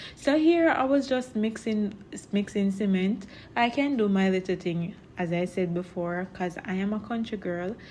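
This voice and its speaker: With a Jamaican accent, a woman at medium pitch speaks at a moderate pace, her intonation lively and her voice somewhat breathy. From Jamaica, Portland parish. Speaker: vlogger and farmer. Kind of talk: casual vlog narration.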